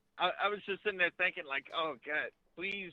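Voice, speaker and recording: This man's pitch varies in an ordinary way while he holds a moderate pace. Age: young. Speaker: truck driver and youtuber. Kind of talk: casual interview.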